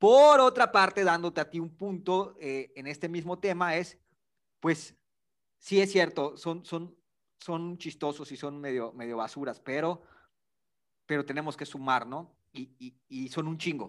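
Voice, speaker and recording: A man speaks at a fairly slow pace with a Yucatecan accent, his pitch fairly high. His intonation is lively, and his loudness swings widely. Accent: Yucatecan Mexican Spanish. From Yucatán, Mexico. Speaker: podcast co-host. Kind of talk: casual political debate.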